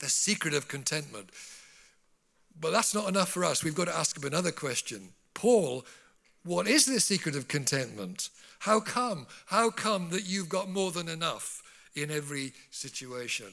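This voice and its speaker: With a bright, sharp tone and vocal fry, a man speaks at a fairly high pitch and a moderate pace, his pitch swinging very widely between long, frequent pauses. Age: 70s. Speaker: preacher. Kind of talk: sermon. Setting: church.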